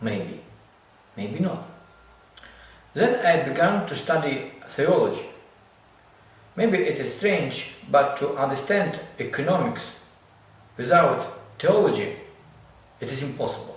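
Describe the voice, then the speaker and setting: Fairly slow speech with long, frequent pauses in a Ukrainian accent, plus audible room echo and noticeable background noise. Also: man. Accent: non-native English, Ukrainian. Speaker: lecturer in theology and social economics. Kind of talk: lecture. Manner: halting.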